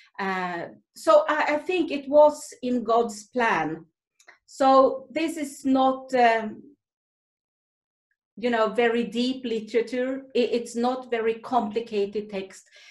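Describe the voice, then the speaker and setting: A woman with a Swedish accent speaks very slowly in a high pitch with ordinary pitch variation. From Sweden. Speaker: Salvation Army officer and author. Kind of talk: talk to a women's group. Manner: halting.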